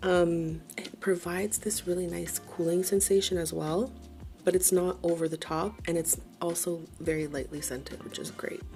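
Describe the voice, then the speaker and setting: Music plays in the background as a woman talks. She is soft-spoken and keeps a moderate pace. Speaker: beauty vlogger. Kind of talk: casual product review.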